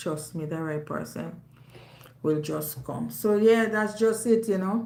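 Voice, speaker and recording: In a Jamaican accent, the speaker has a dark, mellow tone, with audible room echo. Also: woman. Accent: Jamaican, with patois. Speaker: YouTuber. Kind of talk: casual monologue to audience. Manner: loud.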